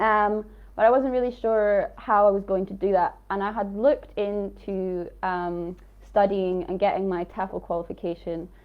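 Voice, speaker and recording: At a moderate pace, a woman with an Aberdeen accent speaks with fairly even intonation. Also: medium pitch for a woman. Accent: Scottish (Aberdeen). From northeast Scotland, Aberdeen area. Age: 20s. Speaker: English teacher sharing experiences. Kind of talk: live webinar talk. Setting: livestream.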